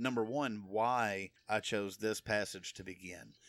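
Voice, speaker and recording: Recorded very cleanly over a silent background, a man with an American accent and ordinary pitch variation has an ordinary speaking voice. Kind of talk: solo religious podcast teaching. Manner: casual, conversational with fillers. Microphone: new recording equipment.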